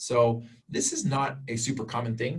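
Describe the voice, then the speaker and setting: A man's voice comes through somewhat breathy. There is audible room echo. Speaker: college instructor. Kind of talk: lecture. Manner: fast.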